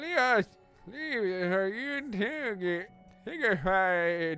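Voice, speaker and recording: A put-on character voice that sounds female speaks at a very slow pace. Music plays in the background. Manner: speaking without moving the lips.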